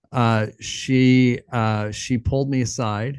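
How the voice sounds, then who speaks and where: With an American accent, the voice comes through over a quiet background. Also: man. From western New York (Rochester area). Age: 40s. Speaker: pastor and podcast host. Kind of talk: interview conversation. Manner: hesitant, many fillers.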